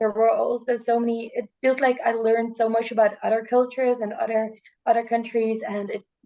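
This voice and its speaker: The speaker has a Dutch accent and keeps a moderate pace. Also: woman. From Netherlands. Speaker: student. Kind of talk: casual chat. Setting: video call. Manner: halting.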